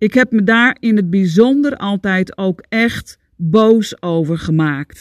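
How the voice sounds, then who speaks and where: A woman speaks at a very slow pace with a medium pitch and lively intonation. The recording is very clean, with a silent background and a dry, close sound with no echo. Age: 50s. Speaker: podcast host, Chinese medicine coach. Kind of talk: solo monologue, self-help talk. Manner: animated.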